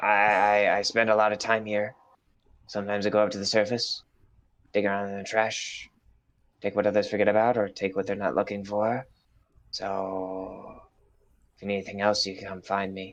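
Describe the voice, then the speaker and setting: Over a quiet background, a man performs a put-on character voice at a fairly low pitch. He takes long, frequent pauses. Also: moderate pace. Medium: actual play. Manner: courteous, gloomy, rambling.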